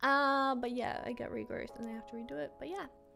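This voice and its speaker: Music plays in the background while a woman talks fairly quickly. Her voice is high. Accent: Australian. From Australia, Brisbane. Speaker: YouTuber and Twitch streamer. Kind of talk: casual Q&A to camera. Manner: casual, lots of fillers.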